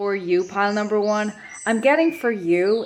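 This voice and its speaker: A woman's moderately paced speech with ordinary pitch variation. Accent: western Irish. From west of Ireland. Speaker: tarot reader. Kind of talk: pick-a-card tarot reading. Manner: hesitant, many fillers and repeats.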